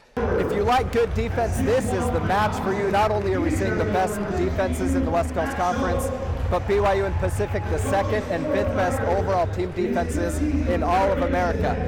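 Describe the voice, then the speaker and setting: Noticeable background noise runs under this recording. The man speaks at a very even loudness. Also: fairly quick pace. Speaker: sports reporter and anchor. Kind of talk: sports broadcast anchor and reporter delivery.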